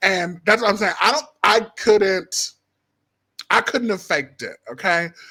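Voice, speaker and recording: Using a raised, projected voice, a man talks at a fairly slow pace, pitched high with a bright, sharp tone and ordinary pitch variation. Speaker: podcast host and stand-up comedian. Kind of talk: casual chat. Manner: animated.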